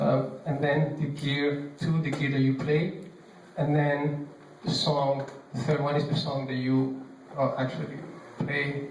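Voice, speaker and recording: A man's fairly high, monotone, flat voice with a non-native accent, fairly slow pace, long, frequent pauses, audible room echo and noticeable background noise. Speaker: bass player giving a clinic class. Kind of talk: workshop talk. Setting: church, live audience. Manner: hesitant, many fillers.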